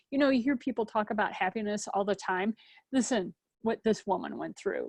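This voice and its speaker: Over a quiet background, a normal speaking voice moves at a fairly quick pace with fairly even intonation and a dry, close sound with no echo. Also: woman. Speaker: podcast interviewer. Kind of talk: show introduction.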